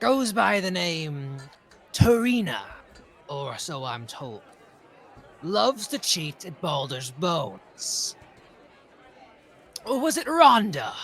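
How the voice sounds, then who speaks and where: Using a put-on character voice at a high pitch, a man moves with very wide pitch swings at a very slow pace, leaving long, frequent pauses. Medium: actual play. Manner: sneering, swaggering.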